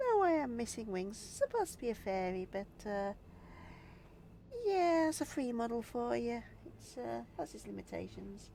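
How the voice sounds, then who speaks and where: Noticeable background noise fills the recording. The woman talking leaves long, frequent pauses. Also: moderate pace. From northern England, Yorkshire. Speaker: game streamer. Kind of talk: casual live-stream chat while gaming.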